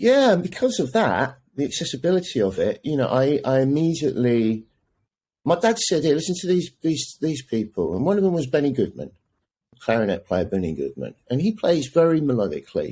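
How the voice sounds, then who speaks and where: A man with an English accent talks at a fairly quick pace in a fairly high pitch, with a dark, mellow tone and very wide pitch swings. The recording is very clean, with a silent background. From England, partly raised in the Netherlands. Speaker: jazz saxophonist and music professor. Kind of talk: casual interview chat.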